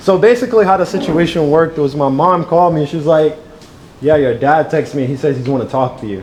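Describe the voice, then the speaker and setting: At a very fast pace, a man talks at a fairly high pitch with lively intonation over noticeable background noise. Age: 20s. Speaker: trader hosting a community event. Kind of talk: casual Q&A at live event.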